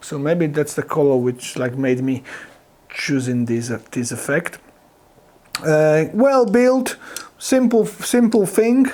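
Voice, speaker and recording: Speaking with a Polish accent, a man uses a fairly high-pitched voice at a very slow pace, with long, frequent pauses and very wide pitch swings. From Poland. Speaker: guitar gear reviewer. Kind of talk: product review talk to camera. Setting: home studio. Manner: halting, with many fillers and restarts.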